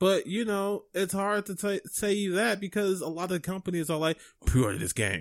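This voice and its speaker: At a moderate pace, a man with a high pitch speaks in an angry tone with fairly even intonation. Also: very clean recording, silent background. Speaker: video game podcast co-host. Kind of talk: casual chat. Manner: sounds perturbed and angry.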